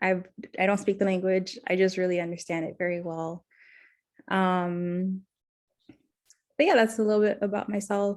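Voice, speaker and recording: A woman with a South Florida accent, medium pitch, moderate pace, fairly even intonation and long, frequent pauses, on a very clean recording with a silent background. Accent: American, South Florida. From Miami, Florida. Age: 20s. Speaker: counseling student. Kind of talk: role-play counseling interview. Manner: hesitant, many fillers.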